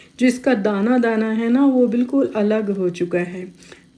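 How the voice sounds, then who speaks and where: A woman talks with normal pitch movement as noticeable noise sounds in the background. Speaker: cooking channel host. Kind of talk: cooking tutorial. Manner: casual, halting with fillers.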